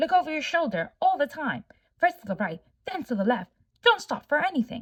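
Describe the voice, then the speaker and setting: A woman performs a put-on character voice at a high pitch. Her pitch swings very widely at a fairly quick pace. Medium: read story.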